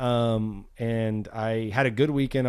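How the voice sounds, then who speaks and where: The intonation stays fairly even. It is an unremarkable speaking voice. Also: man. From South Texas. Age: 30s. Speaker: pro BMX rider. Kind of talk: casual chat. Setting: in person at host's house, on camera.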